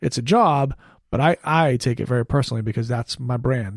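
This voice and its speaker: On a very clean recording with a silent background, a man talks at a fairly quick pace in an animated, somewhat breathy tone, the sound dry and close with no echo. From Maine, New England. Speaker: TV news anchor. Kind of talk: podcast interview. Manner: clear diction.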